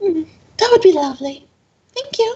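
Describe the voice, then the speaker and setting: Put-on character voice, squeaky and at a moderate pace. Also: female-sounding voice. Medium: actual play. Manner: fussy, kindly.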